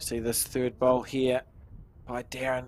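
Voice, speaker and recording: With a New Zealand accent, a man talks at a moderate pace and a medium pitch. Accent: North Island New Zealand. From North Island, New Zealand. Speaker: lawn bowls commentator. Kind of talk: live sports commentary. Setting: bowling club.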